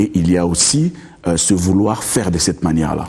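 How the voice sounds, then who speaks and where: Over noticeable background noise, a man with a very deep, low pitch speaks with ordinary pitch variation. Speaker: lawyer. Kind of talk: TV interview. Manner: hesitant, repeats words.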